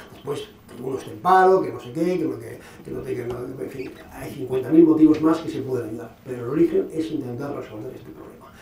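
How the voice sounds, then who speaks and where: A man with a fairly high pitch is heard over light background noise, with audible room echo. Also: ordinary pitch variation, fairly quick pace. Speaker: lecturer on Islam and radicalization. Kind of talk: Q&A after a lecture. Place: hall.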